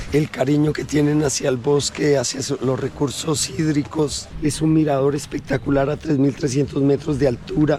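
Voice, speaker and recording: Over noticeable background noise, a man with a Colombian accent talks with hardly any pauses. His voice is fairly high and his intonation monotone and flat. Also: moderate pace. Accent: sweet Colombian. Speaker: local resident and guide. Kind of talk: casual chat.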